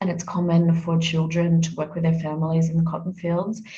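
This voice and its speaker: A somewhat breathy, dark and mellow voice with an Australian accent. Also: woman. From Australia, Adelaide. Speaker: UN communications manager, former journalist. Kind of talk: interview.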